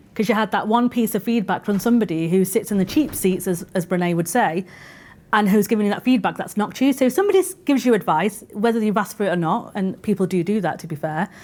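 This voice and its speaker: In a Mancunian accent, a woman talks at a very fast pace. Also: medium pitch for a woman, ordinary pitch variation. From northern England, Manchester. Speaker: podcast co-host, internal communications professional. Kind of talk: live podcast discussion. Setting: live stage with audience.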